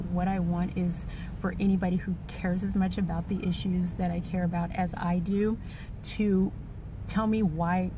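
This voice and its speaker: A woman with a fairly low pitch speaks in a dry sound with no echo, with noticeable background noise. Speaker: vlogger. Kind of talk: personal vlog monologue. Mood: earnest, reflective. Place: car. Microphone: phone near.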